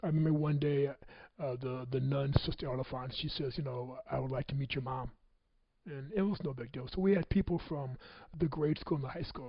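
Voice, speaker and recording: Somewhat breathy and fairly high-pitched, a man talks at a fairly quick pace with ordinary pitch variation and an American accent. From US Midwest (Michigan City, Indiana). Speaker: motivational speaker. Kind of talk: personal testimony talk.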